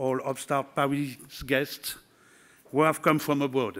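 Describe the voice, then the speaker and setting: A man with a French accent talks fairly slowly at a fairly high pitch. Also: very clean recording, silent background. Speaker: regional politician. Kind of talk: conference speech. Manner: halting.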